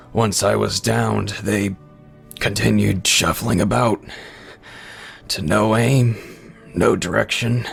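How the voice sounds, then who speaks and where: Putting on a character voice, a man speaks raspy and fairly low at a fairly slow pace, with long, frequent pauses and clear music in the background. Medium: read story. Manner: wry, laughing between breaths.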